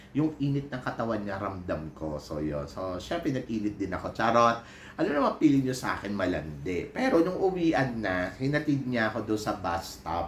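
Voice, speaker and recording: A man speaks at a moderate pace with hardly any pauses, his medium-pitched voice making very wide pitch swings over noticeable background noise and audible room echo. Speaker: vlogger and PE teacher. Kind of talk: casual vlog chat. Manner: animated.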